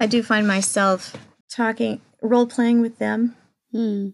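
This is a woman with a normal speaking voice. Her pitch sits fairly high. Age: 40s. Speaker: speech therapist. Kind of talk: personal testimony.

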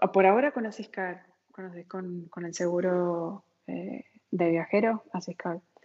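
A woman's medium-pitched voice at a very slow pace, with ordinary pitch variation, big swings in loudness, and long, frequent pauses. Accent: Argentine. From Argentina, San Juan. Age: 40s. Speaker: emigrant sharing her experience. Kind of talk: interview, casual conversation.

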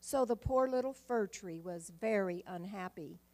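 Her intonation lively, a woman speaks in an ordinary speaking voice at medium pitch. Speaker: church member. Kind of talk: reading aloud. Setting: church.

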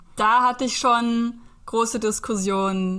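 This is a woman speaking. Her tone comes across bright and sharp. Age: 30s. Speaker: aspiring Reiki practitioner and van traveller. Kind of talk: casual interview.

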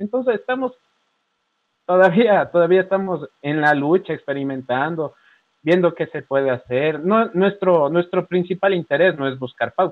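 In a plain, everyday voice, a man speaks fairly slowly with lively intonation and a fairly high pitch. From Ecuador. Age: 20s. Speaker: journalist. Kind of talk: casual chat.

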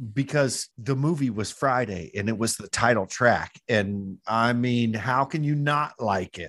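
A man talks at a fairly slow pace and medium pitch, with hardly any pauses and ordinary pitch variation in an unremarkable speaking voice. The recording is very clean, its background silent. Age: 40s. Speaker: podcast host. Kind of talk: casual chat.

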